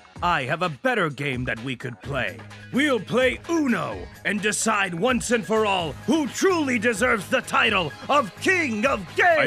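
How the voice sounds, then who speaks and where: Clear music plays in the background as a man projects a raised voice at a high pitch and a moderate pace. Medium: comedy sketch. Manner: haughty, exasperated, shouting.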